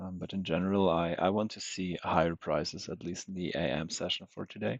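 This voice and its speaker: A man with a very deep, low pitch talks quietly at a fairly quick pace, his intonation fairly even. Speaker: day trader streamer. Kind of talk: live trading commentary. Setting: livestream. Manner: halting. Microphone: unstable connection.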